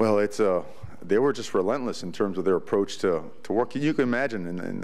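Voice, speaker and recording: In a room with audible echo, a man with a fairly low pitch talks at a fairly quick pace. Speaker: college football head coach. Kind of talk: press conference. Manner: animated.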